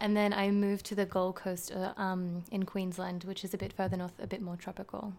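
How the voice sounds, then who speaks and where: In an Australian accent, a woman talks at a fairly quick pace. Her medium-pitched voice has monotone, flat intonation. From Western Sydney, Australia. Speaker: podcast guest. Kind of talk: casual chat.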